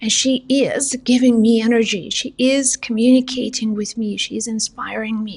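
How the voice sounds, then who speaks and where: Speaking at a moderate pace with a non-native accent, a woman holds a high pitch in a flat, monotone delivery. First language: not English. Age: 40s. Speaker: psychic medium and spiritual teacher. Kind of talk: spiritual motivational monologue.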